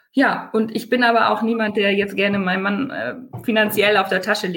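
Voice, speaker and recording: With noticeable background noise behind her, a woman talks fairly quickly at a medium pitch, her pitch varying in an ordinary way. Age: 30s. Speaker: online retailer, mother. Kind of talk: podcast interview.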